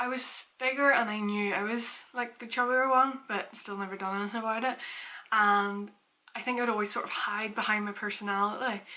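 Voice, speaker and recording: A woman's fairly high, flat, monotone voice at a moderate pace. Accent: Northern Irish. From Northern Ireland, Portstewart. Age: 20s. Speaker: fitness vlogger. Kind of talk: casual vlog talk.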